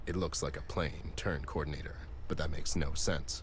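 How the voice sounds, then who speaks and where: A man speaks at a moderate pace in a put-on character voice over loud background noise. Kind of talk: hard-boiled noir detective. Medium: video game. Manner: dry, deadpan.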